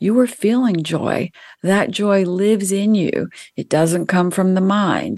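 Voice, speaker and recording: Against a quiet background, a woman with an American accent speaks in a normal speaking voice at a medium pitch with fairly even intonation. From US South. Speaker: spiritual author and numerologist. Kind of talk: interview. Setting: radio show.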